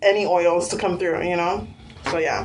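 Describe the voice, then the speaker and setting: A woman speaks at a fairly quick pace, with audible room echo. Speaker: beauty vlogger. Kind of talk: tutorial. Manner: casual with many fillers.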